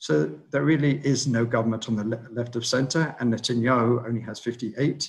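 A somewhat breathy man's voice with a British accent, medium pitch and ordinary pitch variation. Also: moderate pace. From Britain. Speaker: political analyst. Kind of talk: webinar briefing and Q&A. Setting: online webinar.

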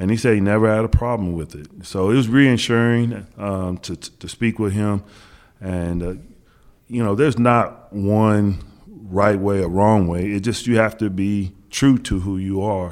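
A man with an American accent speaks in a plain, everyday voice, pitched fairly low, with fairly even intonation. The recording is very clean, with a silent background. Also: fairly slow pace. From Kansas, US Midwest. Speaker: NBA head coach. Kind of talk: podcast interview. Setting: in person, Los Angeles.

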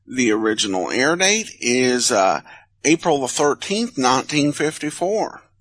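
The voice moves at a very slow pace, with very wide swings in pitch. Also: man, fairly high pitch for a man, quiet background. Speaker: podcast host. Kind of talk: podcast intro and outro, informational.

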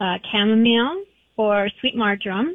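A woman with an ordinary speaking voice, a fairly high pitch, fairly even intonation and a fairly slow pace. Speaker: holistic pet practitioner. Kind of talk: interview.

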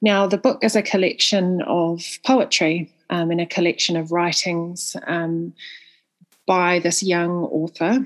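With a New Zealand accent, a woman speaks fairly slowly at a fairly low pitch, with ordinary pitch variation. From New Zealand, Northland. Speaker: book reviewer. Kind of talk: recorded book recommendation.

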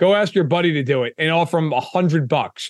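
Here a man speaks with a high pitch and ordinary pitch variation. The background is quiet. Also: dry, close sound with no echo. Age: 30s. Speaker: football writer. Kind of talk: casual sports chat. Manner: animated.

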